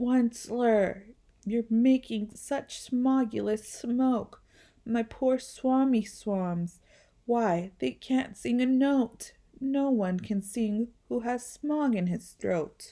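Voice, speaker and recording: Using a put-on character voice that is croaky and high, a woman speaks at a very slow pace. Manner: coughing, gripey and scolding.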